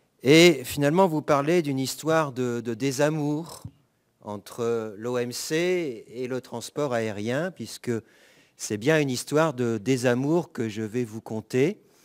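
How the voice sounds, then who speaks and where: The recording is very clean with a silent background, carrying a man's medium-pitched voice at a very slow pace. His pitch varies in an ordinary way while his loudness swings a lot. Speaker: law professor. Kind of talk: conference talk. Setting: conference with audience.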